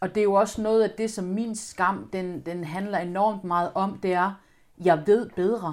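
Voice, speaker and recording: Her medium-pitched voice moves at a fairly slow pace, and this woman keeps her intonation fairly even. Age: 30s. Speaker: guest sharing personal experience. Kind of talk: testimony. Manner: halting.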